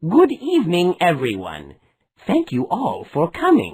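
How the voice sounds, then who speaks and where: A put-on character voice at a fairly slow pace. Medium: read story.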